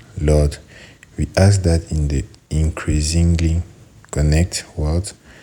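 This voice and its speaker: A very slow-paced man with a very deep, low pitch, over noticeable background noise. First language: French. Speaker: prayer leader. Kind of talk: prayer. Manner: halting.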